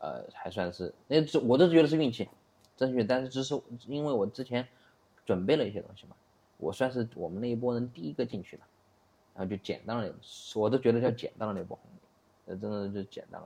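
A man's medium-pitched voice with a dark, mellow tone, lively intonation, a very fast pace, big swings in loudness and long, frequent pauses. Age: 30s. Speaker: e-commerce entrepreneur. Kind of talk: casual interview. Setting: studio.

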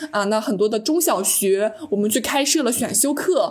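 A woman with a plain, everyday voice, fairly high in pitch, at a fairly quick pace with lively intonation. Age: 20s. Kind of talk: interview.

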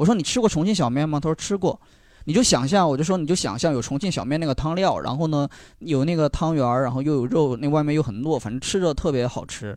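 A man's fairly high voice at a very fast pace, with lively intonation, over a quiet background. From Sichuan, China. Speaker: live audience member. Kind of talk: casual chat.

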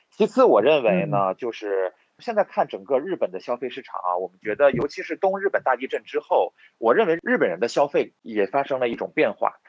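A man's fairly high voice with very wide pitch swings, vocal fry, and a fairly quick pace. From Inner Mongolia, Hulunbuir. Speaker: entrepreneur, electronics company owner. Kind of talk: interview.

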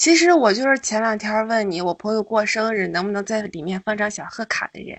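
In an ordinary speaking voice, the speaker goes at a fairly quick pace with lively intonation, big swings in loudness and hardly any pauses. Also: woman, fairly high pitch for a woman. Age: 20s. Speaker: caller. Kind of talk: casual chat.

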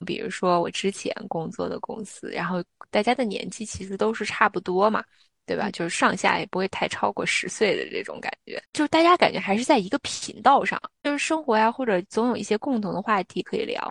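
With an unremarkable speaking voice, a woman speaks fairly quickly at a fairly high pitch and with lively intonation, the sound dry and close with no echo. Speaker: podcast co-host. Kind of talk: casual chat.

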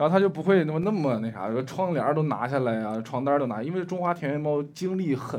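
This fairly quick voice has very wide pitch swings, with audible room echo and noticeable background noise. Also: man. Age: young. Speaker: stand-up comedian. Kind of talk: casual chat. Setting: stage with live audience.

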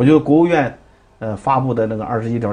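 Somewhat breathy speech from a man at medium pitch, fairly quick in pace, with ordinary pitch variation. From Dalian, northeast China. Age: 50s. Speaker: Peking opera performer and theatre director. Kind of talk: interview. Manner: hesitant, many fillers.

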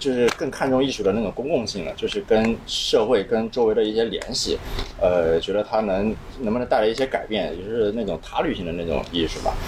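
A man talks at a fairly quick pace with medium pitch and ordinary pitch variation. Noticeable background noise is present. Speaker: young artist. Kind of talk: casual chat. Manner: quiet, few words.

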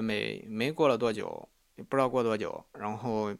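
This man's voice rests at a medium pitch, and its pitch variation is ordinary. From Henan, Sanmenxia. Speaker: podcast host. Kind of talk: solo storytelling monologue. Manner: halting, many fillers and repetitions.

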